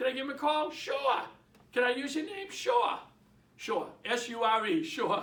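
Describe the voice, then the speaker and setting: In a Boston accent, a man talks at a fairly slow pace with a bright, sharp tone and audible room echo. His pitch is extremely high for a man and swings very widely. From Boston, Massachusetts. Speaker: real estate trainer. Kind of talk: training talk. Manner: animated, conversational.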